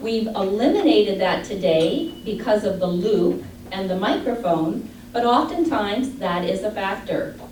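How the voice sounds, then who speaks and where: Through audible room echo and noticeable background noise, a woman with a Midwestern US accent speaks at a fairly slow pace with lively intonation. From Michigan. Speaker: audiologist. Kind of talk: lecture.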